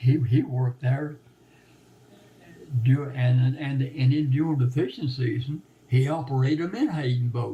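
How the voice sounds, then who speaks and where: A somewhat breathy man speaks with an American accent. He leaves long, frequent pauses, and his intonation stays fairly even. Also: medium pitch for a man, moderate pace. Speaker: former net maker and repairer. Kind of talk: oral history interview answer. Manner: halting, repetitive.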